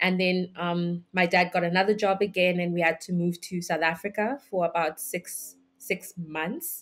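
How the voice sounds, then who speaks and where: With music in the background, a woman of fairly low pitch speaks in a monotone, flat intonation with hardly any pauses. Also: moderate pace. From Swaziland, raised by Malawian parents. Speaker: journalist. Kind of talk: podcast interview. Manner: hesitant, with many fillers.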